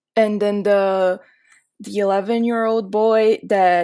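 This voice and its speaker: A woman with a Portuguese accent, medium in pitch, flat and monotone, at a fairly slow pace, in a very clean recording with a silent background. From Brazil. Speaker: podcast guest. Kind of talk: casual chat.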